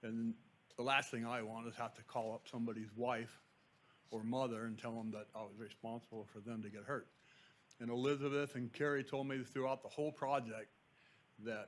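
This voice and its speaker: A man at a fairly quick pace, with fairly even intonation. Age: 60s. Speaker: construction contractor superintendent. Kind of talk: public comment at board meeting. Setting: public board meeting. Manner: halting, many fillers.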